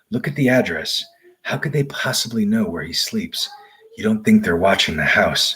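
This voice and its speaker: A man's shaky, put-on character voice, fairly high in pitch, at a moderate pace. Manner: quivering, frightened.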